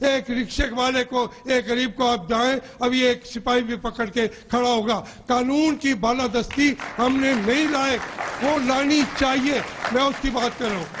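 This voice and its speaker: A man's extremely high voice with fairly even intonation, over crowd noise in the background. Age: 60s. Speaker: politician. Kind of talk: heated debate. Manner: impassioned.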